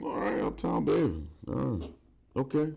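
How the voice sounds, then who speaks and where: A man talks with vocal fry. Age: 30s. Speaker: podcast host. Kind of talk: casual chat.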